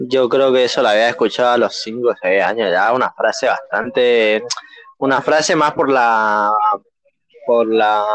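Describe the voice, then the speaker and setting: A normal speaking voice, a man at a fairly slow pace with medium pitch, ordinary pitch variation and very even loudness. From Argentina, rural Corrientes. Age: 20s. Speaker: podcast co-host. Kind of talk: casual chat.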